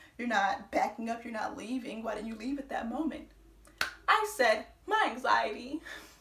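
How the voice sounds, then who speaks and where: A woman speaks at a high pitch, with big swings in loudness. Noticeable background noise runs underneath. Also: ordinary pitch variation. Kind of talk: storytime talk to camera. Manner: fast when excited; casual, profane.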